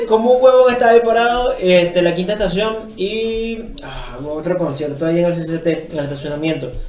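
A man talks at a fairly quick pace with a high pitch and lively intonation, with hardly any pauses. Noticeable background noise and audible room echo come through. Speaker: podcast co-host. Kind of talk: casual chat.

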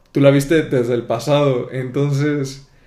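At a very slow pace, a man with a dark, mellow tone and a fairly high pitch speaks amid audible room echo. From southern Mexico, Tapachula near Guatemala border. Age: 20s. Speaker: podcast host. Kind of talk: casual interview chat.

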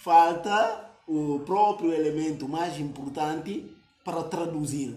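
A man's fairly high-pitched voice at a very slow pace, with ordinary pitch variation, noticeable background noise and audible room echo. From Guinea-Bissau. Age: 20s. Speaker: youth activist. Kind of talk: interview conversation.

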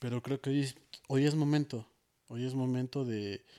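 The sound is dry and close with no echo as a man talks at a fairly slow pace in a dark, mellow tone with fairly even intonation. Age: 30s. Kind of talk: testimony. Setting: studio.

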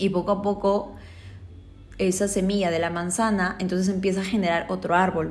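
A woman talks with fairly even intonation, and audible room echo surrounds her voice. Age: 20s. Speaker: life coach and podcast host. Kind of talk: motivational monologue.

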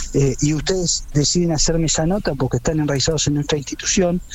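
Noticeable background noise is present. Through it, a man talks at a fairly high pitch. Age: 30s. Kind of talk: radio interview.

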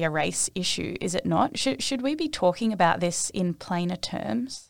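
At a moderate pace, a woman with an Australian accent speaks at a fairly low pitch with very wide pitch swings, in a very clean recording with a silent background. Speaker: podcast host. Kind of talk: interview.

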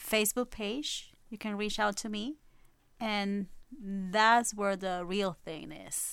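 A woman speaks with a Puerto Rican accent on a very clean recording with a silent background. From Puerto Rico and Brooklyn, New York. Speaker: spiritual medium and ghost hunter. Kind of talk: casual chat.

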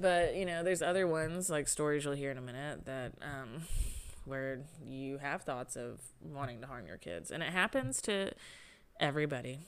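A woman's very deep, low voice in a Southern US accent, with lively intonation. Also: moderate pace. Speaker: podcast co-host. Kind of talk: casual chat.

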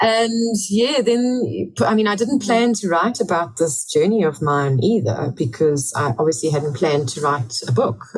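A somewhat breathy woman's voice, fairly low in pitch, with very wide pitch swings, a fairly slow pace and hardly any pauses. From England. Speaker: author and ultramarathon runner. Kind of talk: interview.

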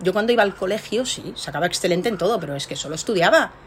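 A woman talks with lively intonation. Background noise is noticeable behind her. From Spain, Barcelona. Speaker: research scientist. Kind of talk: interview.

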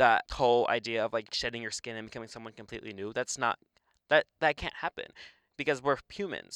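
An ordinary speaking voice at a fairly quick pace, with ordinary pitch variation and big swings in loudness. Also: man. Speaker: podcast co-host, college student. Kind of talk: casual chat.

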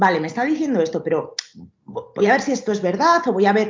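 Somewhat breathy, a woman's fairly high voice moves through very wide pitch swings. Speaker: personal trainer. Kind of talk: interview. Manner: halting.

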